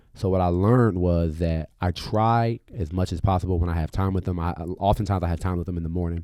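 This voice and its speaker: Very fast and very deep, this man's low-pitched voice holds fairly even intonation. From Aurora. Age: 20s. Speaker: community organizer and father. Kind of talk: casual chat. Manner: halting.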